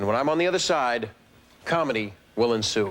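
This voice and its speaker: Noticeable background noise sits behind the recording. A man talks at a moderate pace with very wide pitch swings. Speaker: TV host. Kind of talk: comedic host talk to camera. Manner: joking, playful.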